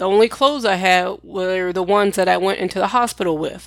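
In a very clean recording with a silent background, a woman with an unremarkable speaking voice talks at medium pitch and a moderate pace. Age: 40s. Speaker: podcast host sharing her illness story. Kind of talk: personal storytelling monologue.

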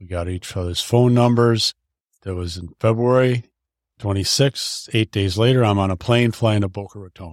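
In a normal speaking voice, a man talks at a moderate pace with a fairly low pitch, ordinary pitch variation and big swings in loudness, recorded very cleanly against a silent background with a dry, close sound and no echo. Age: 60s. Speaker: podcast guest, half of a couple. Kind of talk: casual interview chat.

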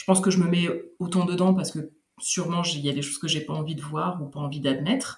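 A woman's fairly low, somewhat breathy voice at a very fast pace, with ordinary pitch variation. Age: 30s. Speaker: podcaster and returning expat. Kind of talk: testimony.

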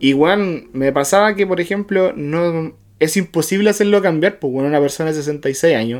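A man speaks with a Chilean accent at a moderate pace. His pitch is high, with ordinary variation. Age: 30s. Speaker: podcast co-host. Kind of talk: casual chat.

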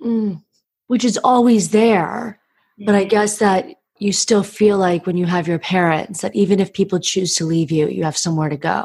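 A normal speaking voice from a woman, medium in pitch, at a moderate pace with ordinary pitch variation. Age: 30s. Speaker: podcast host and breakup coach. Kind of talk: casual podcast monologue and interview.

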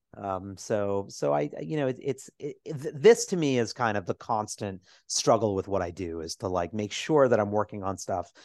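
Pitch swings very widely as a man talks at a fairly quick pace, the sound dry and close with no echo over a quiet background. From New York City, Lower East Side. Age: 40s. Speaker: Broadway producer and writer. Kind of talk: casual interview.

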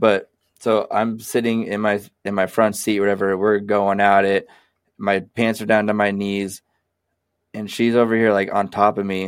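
Speaking with an American accent, a man uses a fairly low pitch and a monotone, flat intonation at a moderate pace. The recording is very clean, with a silent background. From Sacramento, California. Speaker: podcast co-host. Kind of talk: casual chat.

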